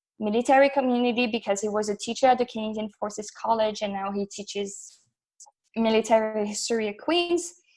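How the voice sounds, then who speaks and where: Woman with a French accent, fairly high pitch and fairly quick pace. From northern France, near Belgian border. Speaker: graduate researcher on military gender. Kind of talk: podcast interview.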